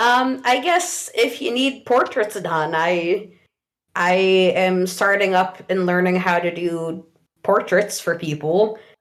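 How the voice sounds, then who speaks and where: The speaker is a woman at a medium pitch. She talks at a very slow pace, her pitch varying in an ordinary way. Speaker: podcast guest, band fan. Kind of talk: casual chat. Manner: loud.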